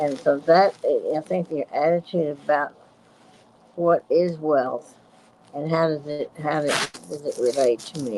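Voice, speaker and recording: At a fairly slow pace, a woman talks in a very deep, low voice. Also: ordinary pitch variation. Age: 80s+. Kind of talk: casual chat. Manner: halting.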